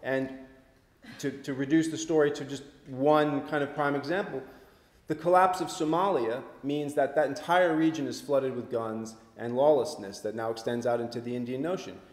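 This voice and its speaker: A man with an American accent at a fairly high pitch and a moderate pace, with audible room echo. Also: ordinary pitch variation. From US Northeast (Vermont). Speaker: author and researcher; guest. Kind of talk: public talk and discussion. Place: hall.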